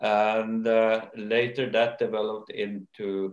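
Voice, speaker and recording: With fairly even intonation, a man talks amid audible room echo. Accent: Norwegian. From Norway. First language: Norwegian. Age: old. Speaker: company owner and chairman; interviewee. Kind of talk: interview. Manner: hesitant, many fillers. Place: home room. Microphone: video call.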